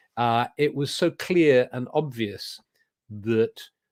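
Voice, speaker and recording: A man speaks with a southern English accent. His pitch shows ordinary variation. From England. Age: 70s. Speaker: druid leader and spiritual teacher. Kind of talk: interview. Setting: video call. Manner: halting, with many repetitions.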